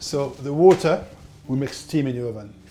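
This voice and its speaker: Somewhat breathy and dark, mellow in tone, a man talks with lively intonation in a French accent. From France. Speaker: baker and chef. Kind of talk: cooking tutorial. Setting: home kitchen. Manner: casual, instructive.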